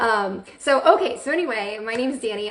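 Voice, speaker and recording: A woman has an unremarkable speaking voice with a fairly high pitch. She talks at a moderate pace with lively intonation. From Central Florida, US. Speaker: direct sales director and trainer. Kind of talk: live video training. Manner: casual, many fillers.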